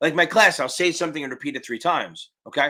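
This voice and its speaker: In a very clean recording with a silent background, a man speaks very fast with vocal fry. His tone is bright and sharp, and his intonation is lively. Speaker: exam prep tutor. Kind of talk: live stream Q&A. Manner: loud.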